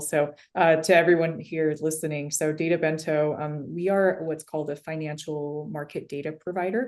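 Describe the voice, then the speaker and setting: Against a quiet background, a woman with a very deep, low pitch talks at a fairly quick pace, her intonation fairly even. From US, immigrant family. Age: 30s. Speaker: tech company CEO. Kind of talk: interview.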